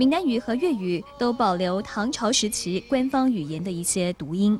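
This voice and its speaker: Music plays in the background as the voice moves at a moderate pace, with very wide pitch swings. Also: woman. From Yunlin, Taiwan. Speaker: TV news reporter. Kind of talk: TV news report narration.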